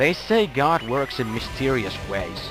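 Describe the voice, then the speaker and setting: Music plays in the background. The speaker has a Finnish accent and makes very wide pitch swings. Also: man. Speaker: gaming commentator. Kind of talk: video game commentary. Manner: upbeat.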